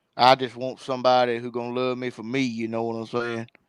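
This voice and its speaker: The speech comes at a fairly quick pace with monotone, flat intonation. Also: man. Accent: Southern US. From Mississippi. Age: 20s. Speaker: streamer. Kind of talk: casual chat.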